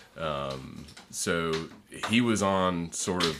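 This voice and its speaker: A man's very deep, low voice with a bright, sharp tone. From northern Florida. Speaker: environmental lobbyist and attorney. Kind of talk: casual interview. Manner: halting, many fillers.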